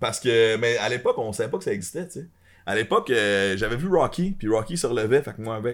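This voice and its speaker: A man's medium-pitched voice at a very fast pace with lively intonation, in a very clean recording over a silent background. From Montreal, Quebec. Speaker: content creator, former water polo player. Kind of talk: casual chat. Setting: studio, streamed live.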